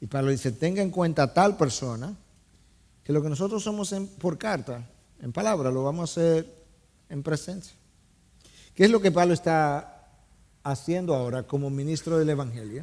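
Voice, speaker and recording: With lively intonation and a fairly high pitch, a man speaks at a moderate pace broken by long, frequent pauses. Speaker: pastor preaching a sermon. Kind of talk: sermon preaching to a congregation.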